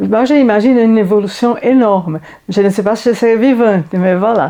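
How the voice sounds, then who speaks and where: Her dark, mellow tone at medium pitch carries ordinary pitch variation as the woman speaks fairly slowly. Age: 70s. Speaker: library patron interviewed about reading. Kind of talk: interview answer.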